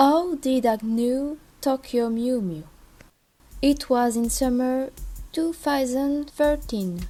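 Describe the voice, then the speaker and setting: A woman with a French accent speaks at a high pitch in a dark, mellow tone. She goes very slowly, with long, frequent pauses. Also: ordinary pitch variation. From France. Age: 20s. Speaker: fan content creator. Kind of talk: casual narration.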